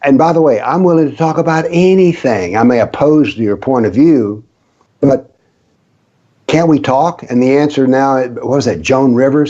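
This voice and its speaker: In a Southern US accent, a man with a fairly high pitch and a dark, mellow tone speaks at a moderate pace, with ordinary pitch variation and very even loudness. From US South, rural. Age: 70s. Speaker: author on political Islam, former professor. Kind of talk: interview.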